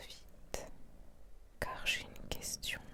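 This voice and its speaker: A very slow pace carries this whispering. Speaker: hypnotherapist. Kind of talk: guided hypnosis session. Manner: whispered; slow, soothing.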